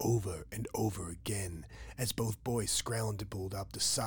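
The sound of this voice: The reading voice here is unforced.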